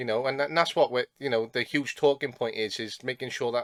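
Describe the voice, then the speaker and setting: Recorded dry and close with no echo and a silent background, a medium-pitched man with a Welsh accent keeps his intonation fairly even. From South Wales. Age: 20s. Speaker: podcast host, football coach. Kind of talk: podcast interview.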